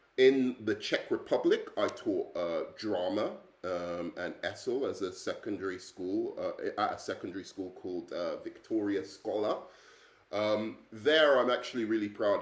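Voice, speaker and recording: A man with an English accent at a fairly slow pace. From England. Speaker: English teacher. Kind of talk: self-introduction video. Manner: hesitant, many fillers.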